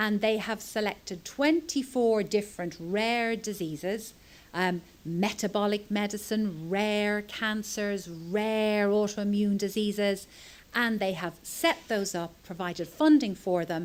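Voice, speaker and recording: A woman speaks with a Dublin accent. The recording is very clean, with a silent background. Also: medium pitch for a woman, ordinary pitch variation, fairly slow pace. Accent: Irish (Dublin). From Ireland, Dublin. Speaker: pediatric epilepsy doctor. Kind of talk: conference talk.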